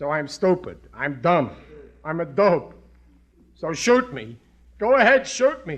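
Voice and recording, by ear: Here a man does a put-on character voice at a fairly high pitch. He talks slowly, with big pitch swings.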